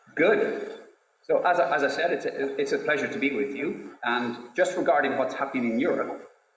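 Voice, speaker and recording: A man with an Irish accent at a fairly quick pace, amid audible room echo. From Ireland. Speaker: science policy speaker at a conference. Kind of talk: conference talk. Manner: hesitant, repeating words. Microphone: slight echo.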